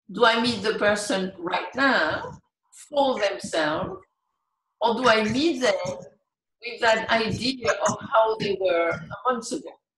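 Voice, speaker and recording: A woman speaks at a very slow pace with ordinary pitch variation. Audible room echo and light background noise are present. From France. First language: French. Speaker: meditation teacher. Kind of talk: talk on meditation. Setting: video call. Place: home room. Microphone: video call.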